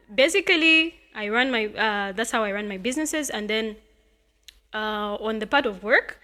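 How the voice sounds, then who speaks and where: Bright and sharp in tone, a woman speaks at a moderate pace with lively intonation. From Zambia, Copperbelt (Luanshya). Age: 20s. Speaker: student entrepreneur. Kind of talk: podcast interview.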